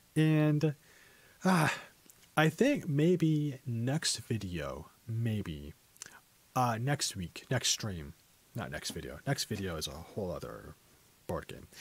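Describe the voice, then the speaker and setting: Very slowly, a man talks in a somewhat breathy voice with very wide pitch swings and long, frequent pauses. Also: medium pitch for a man. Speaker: English teacher. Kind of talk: casual educational talk to stream viewers.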